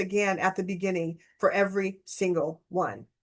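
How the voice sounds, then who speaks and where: A woman's animated tone over a quiet background. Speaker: AI business coach. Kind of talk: webinar tutorial with Q&A. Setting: video call.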